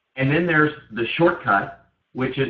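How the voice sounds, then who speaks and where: A man's voice carries audible room echo. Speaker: network marketing team leader. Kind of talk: conference call training. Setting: conference call. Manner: fast; animated.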